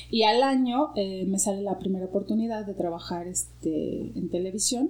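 There is ordinary pitch variation in this woman's somewhat breathy speech. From Mexico, Guadalajara. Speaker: actress and yoga teacher. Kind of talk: interview conversation.

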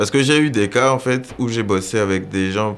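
This man has an ordinary speaking voice. He talks at a moderate pace with ordinary pitch variation. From Gabon. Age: 20s. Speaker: photographer and accountant. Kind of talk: interview.

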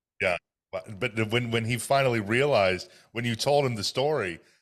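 A man's ordinary speaking voice, medium in pitch and fairly quick in pace, on a very clean recording with a silent background. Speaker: podcast host. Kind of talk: interview chat.

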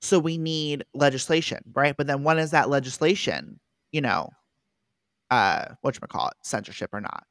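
The sound is dry and close with no echo, in a very clean recording with a silent background. A woman with a very deep, low pitch speaks at a moderate pace with ordinary pitch variation and vocal fry. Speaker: podcast co-host. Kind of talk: casual chat.

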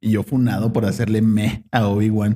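A man speaks at a fairly low pitch in a dark, mellow tone, with a dry, close sound and no echo. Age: 20s. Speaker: podcast host. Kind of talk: casual chat.

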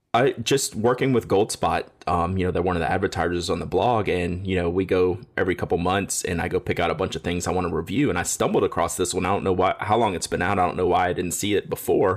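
Intonation here is fairly even. The talking goes at a very fast pace. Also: man, very deep, low pitch for a man. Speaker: podcast co-host. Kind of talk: casual chat. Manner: laughs often.

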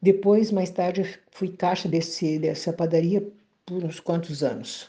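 A woman with a medium pitch and a dark, mellow, somewhat breathy tone talks at a fairly slow pace with fairly even intonation. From southern Brazil, Bagé (Rio Grande do Sul). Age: 70s. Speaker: retired teacher. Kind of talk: testimony.

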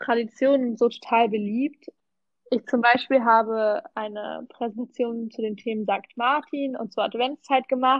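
Her voice high, a woman speaks at a fairly slow pace with fairly even intonation. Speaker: volunteer language assistant. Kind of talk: casual chat.

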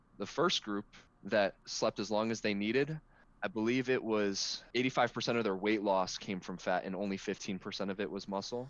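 This man has a fairly low pitch and an unremarkable speaking voice, talking at a moderate pace. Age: 20s. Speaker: college student and natural bodybuilder. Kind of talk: casual interview.

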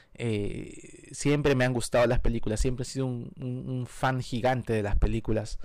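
Speaking at a moderate pace with hardly any pauses, this man has a medium-pitched voice and fairly even intonation. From Peru. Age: 40s. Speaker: film commentary podcaster. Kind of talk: casual solo podcast monologue. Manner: hesitant, many fillers.

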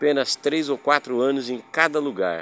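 Using a plain, everyday voice, a man speaks at a moderate pace and medium pitch with ordinary pitch variation. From Paraná, Brazil. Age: 60s. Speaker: podcaster. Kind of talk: personal storytelling monologue.

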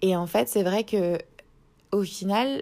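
A woman speaks in a dark, mellow tone. Her intonation is fairly even. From France, Strasbourg (Alsace). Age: 20s. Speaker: podcast host. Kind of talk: casual monologue. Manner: hesitant, many fillers.

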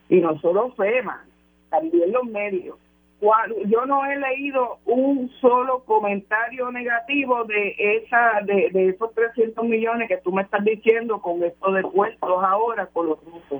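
A woman with a fairly high pitch speaks at a very slow pace, her intonation lively. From Puerto Rico. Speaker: political commentator. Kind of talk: radio panel discussion.

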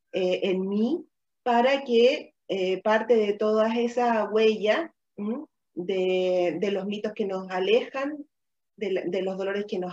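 A woman at medium pitch with ordinary pitch variation, a plain, everyday voice. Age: 40s. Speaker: women's wellness and ritual facilitator. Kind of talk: live-streamed conversational talk. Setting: live video stream.

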